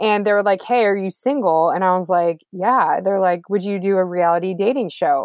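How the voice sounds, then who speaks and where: A woman at a medium pitch and moderate pace, an ordinary speaking voice with ordinary pitch variation. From Texas, Houston. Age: 30s. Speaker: former TV reporter. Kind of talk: casual interview chat.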